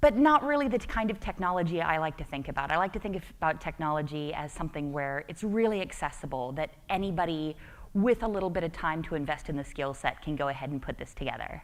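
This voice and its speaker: With an American accent, the speaker races along at a very fast pace with lively intonation and hardly any pauses, on a very clean recording with a silent background. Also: woman, fairly low pitch for a woman. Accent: American, called goofy by herself. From United States. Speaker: tech conference speaker. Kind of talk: conference talk. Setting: stage with audience. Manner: less chipper than usual.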